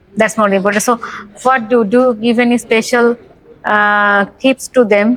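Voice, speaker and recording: With an Indian accent, a woman speaks at a fairly slow pace in a monotone, flat delivery. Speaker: interview host. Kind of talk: interview.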